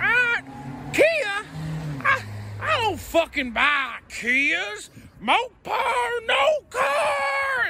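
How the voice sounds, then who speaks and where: Shouting in a put-on character voice, the speaker hits an extremely high pitch at a very slow pace. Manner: mocking, comedic.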